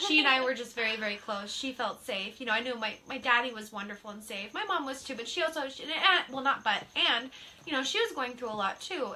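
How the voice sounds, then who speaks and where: At a fairly quick pace, a woman talks in a high pitch. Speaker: psychic medium. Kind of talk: casual chat.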